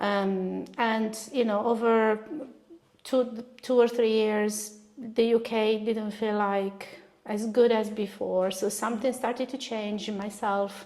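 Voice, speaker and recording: A woman's fairly high, flat monotone in an Italian accent, at a very slow pace. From northern Italy, Bologna. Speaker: artist. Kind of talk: interview.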